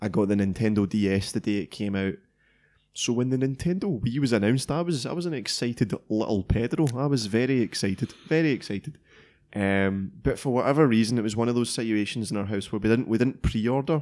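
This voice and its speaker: Speaking with a Scottish accent, a man uses a medium pitch, lively intonation and a fairly quick pace. The recording is very clean, with a silent background. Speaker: tech podcast co-host. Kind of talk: casual chat.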